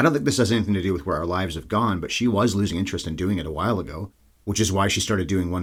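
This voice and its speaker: Somewhat breathy delivery at a very fast pace, with ordinary pitch variation. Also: man. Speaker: movie podcast host. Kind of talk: solo monologue. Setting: home recording space.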